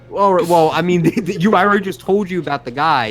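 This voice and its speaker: A man speaks very fast in a strong Brooklyn accent, his voice fairly high-pitched, with music playing in the background. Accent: Brooklyn accent, thick. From New York City. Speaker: podcast co-host. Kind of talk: casual chat. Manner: animated storytelling.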